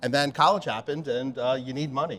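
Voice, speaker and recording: Over a silent background in a very clean recording, a man with an American accent talks fairly quickly in an unremarkable speaking voice, his medium pitch showing ordinary variation. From Pennsylvania, Pottstown. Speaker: bartender and beverage manager. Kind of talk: casual chat.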